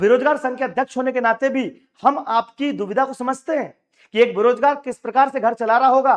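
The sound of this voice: A man talks at a fairly quick pace with an extremely high pitch. His pitch variation is ordinary.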